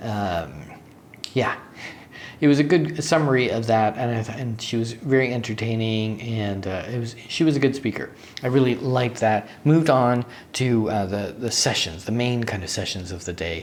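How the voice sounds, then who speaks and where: Speech moves at a moderate pace with ordinary pitch variation. Noticeable background noise runs underneath. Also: man, medium pitch for a man. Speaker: software developer vlogger. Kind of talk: casual vlog recap. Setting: hotel room. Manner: casual with many fillers.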